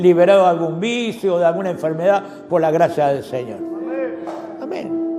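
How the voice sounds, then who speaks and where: Recorded with audible room echo and noticeable background noise, a man speaks at a moderate pace. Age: 70s. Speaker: pastor. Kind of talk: sermon.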